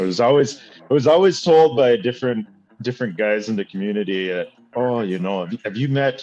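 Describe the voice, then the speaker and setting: Speaking fairly quickly with a Canadian prairie accent, a man uses lively intonation in a medium pitch with a dark, mellow tone. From Saskatchewan, Canada. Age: 30s. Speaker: reality TV participant reviewing his episode. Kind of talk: casual chat.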